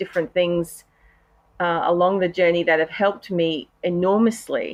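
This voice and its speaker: The speaker talks in a flat, monotone way with an Australian accent against a quiet background. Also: woman. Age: 40s. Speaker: patient health advocate, cancer survivor. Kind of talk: podcast interview. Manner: hesitant, many fillers.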